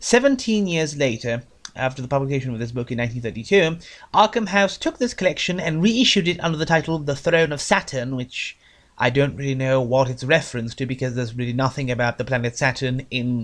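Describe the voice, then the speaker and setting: Words come out mumbled at a very fast pace, with lively intonation. The background is quiet. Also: man, medium pitch for a man. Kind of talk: book review talk. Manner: mumbles a bit in places.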